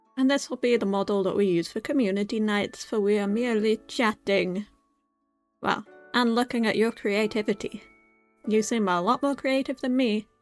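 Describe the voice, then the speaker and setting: Over music in the background, a woman speaks at a moderate pace in a fairly high voice. Her tone is upbeat and playful, with ordinary pitch variation. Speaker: VTuber / ASMR streamer. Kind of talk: casual chatty livestream talk to chat. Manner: upbeat, playful.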